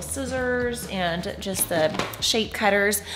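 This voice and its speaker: Music behind a woman's voice. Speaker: parent vlogger. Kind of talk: casual vlog chat. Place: home room. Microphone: phone near.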